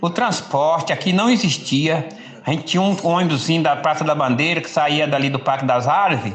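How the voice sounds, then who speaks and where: A man talks at a fairly quick pace with lively intonation. The recording has audible room echo and noticeable background noise. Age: 70s. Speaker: senior center participant. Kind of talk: audio message reflection.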